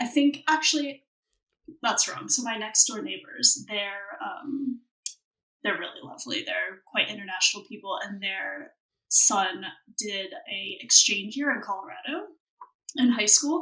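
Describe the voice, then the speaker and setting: A woman with an American accent and a high pitch speaks at a fairly slow pace, with very wide pitch swings, big swings in loudness and long, frequent pauses. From Ohio, US. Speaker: expat guest. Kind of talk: casual interview chat.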